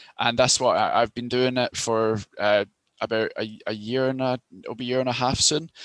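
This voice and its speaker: A man's medium-pitched voice at a moderate pace, monotone and flat, with a dry, close sound and no echo. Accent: Glasgow. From Scotland, near Glasgow. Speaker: recruitment consultant. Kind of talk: interview. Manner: hesitant, many fillers.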